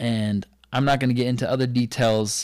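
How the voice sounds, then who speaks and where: This man has a plain, everyday voice, speaking at a moderate pace with ordinary pitch variation in a very clean recording with a silent background. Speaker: podcast guest telling life story. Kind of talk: casual conversational storytelling. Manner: casual, laid-back.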